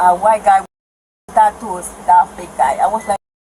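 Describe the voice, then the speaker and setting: A woman with a Spanish accent, medium pitch and a fairly slow pace. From Nicaragua. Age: 20s. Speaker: detained woman at police scene. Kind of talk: police body cam confrontation. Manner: agitated, emotional.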